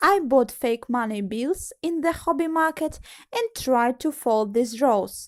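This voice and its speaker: In a Russian accent, the speaker talks at a fairly slow pace with lively intonation, in a very clean recording with a silent background and a dry, close sound with no echo. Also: woman, high pitch for a woman. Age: 20s. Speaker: origami tutorial creator. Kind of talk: personal story monologue.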